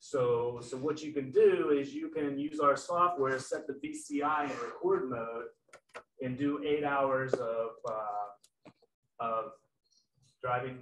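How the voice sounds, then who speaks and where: With an American accent, a man talks in big swings of loudness, with audible room echo and light background noise. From West Virginia. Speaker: sales manager. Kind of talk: product presentation. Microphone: video call.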